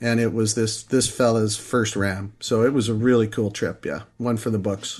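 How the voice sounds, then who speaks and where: A man's medium-pitched voice with a Canadian prairie accent, flat and monotone, at a moderate pace. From Saskatchewan, Canada. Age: 50s. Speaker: sheep hunter. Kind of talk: casual interview.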